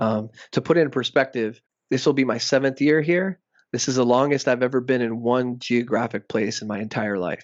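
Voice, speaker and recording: A man with an ordinary speaking voice talks at a fairly quick pace. His pitch is medium, with ordinary pitch variation. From South Texas and Mexico border region. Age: 30s. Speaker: professor. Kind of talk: interview.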